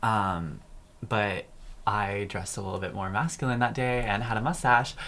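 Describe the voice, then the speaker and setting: At a moderate pace, a man with a fairly low pitch and a bright, sharp tone shows ordinary pitch variation. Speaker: guest from local pride organization. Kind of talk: casual chat. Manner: vocally flamboyant.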